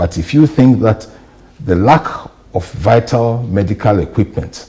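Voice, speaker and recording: Noticeable background noise sits behind the speaker. A man talks with lively intonation. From Ghana. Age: 60s. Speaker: journalist and media trainer. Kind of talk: interview.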